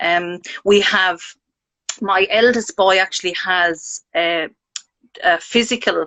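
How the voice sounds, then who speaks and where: With an Irish accent, a woman speaks in a fairly even intonation. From Ireland. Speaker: parent sharing mental health experience. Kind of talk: casual chat.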